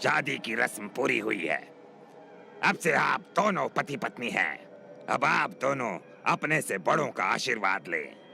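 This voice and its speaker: Over clear background noise, a man puts on a character voice at medium pitch, with very wide pitch swings and a moderate pace. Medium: audio drama. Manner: solemn, commanding.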